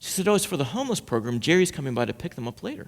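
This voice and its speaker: Talking at a very fast pace, a man's voice carries vocal fry. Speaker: pastor giving a sermon. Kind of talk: sermon to a congregation. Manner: conversational, storytelling, humorous.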